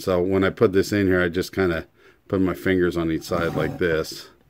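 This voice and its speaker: Fairly quick and very deep, low-pitched, a man's voice moves with fairly even intonation over light background noise. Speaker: hobbyist demonstrator. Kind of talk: tutorial. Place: workshop. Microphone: phone near.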